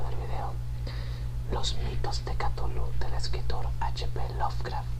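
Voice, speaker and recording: A fairly slow whisper against noticeable background noise. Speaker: ASMR channel host. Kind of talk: casual talk to camera. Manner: whispered.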